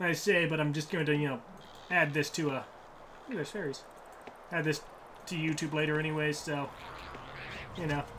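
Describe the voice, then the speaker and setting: Noticeable background noise and audible room echo frame a soft-spoken man with a fairly high pitch and fairly even intonation. He talks at a fairly quick pace but leaves long, frequent pauses. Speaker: gaming streamer. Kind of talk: casual gameplay commentary.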